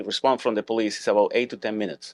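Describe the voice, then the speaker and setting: A man speaks with a dry, close sound and no echo. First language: Spanish or Hebrew. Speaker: podcast host, school security business owner. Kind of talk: interview. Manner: halting, repeats words.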